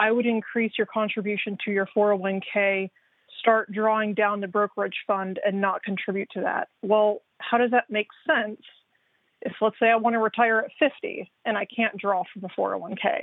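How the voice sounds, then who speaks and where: A woman talks at a moderate pace with a fairly high pitch. Her intonation is fairly even, and it is an unremarkable speaking voice. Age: 30s. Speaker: caller. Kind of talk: phone-in call.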